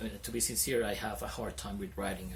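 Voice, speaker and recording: Amid noticeable background noise and audible room echo, a man talks at a very fast pace and a very deep, low pitch with very wide pitch swings. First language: Spanish. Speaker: English teacher, video creator. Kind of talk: casual vlog talk to camera. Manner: stutters; hesitant, many fillers.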